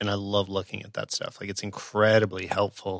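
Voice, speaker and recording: This man has a fairly low pitch and an ordinary speaking voice, moving at a moderate pace. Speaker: podcast host. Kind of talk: casual interview. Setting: remote call.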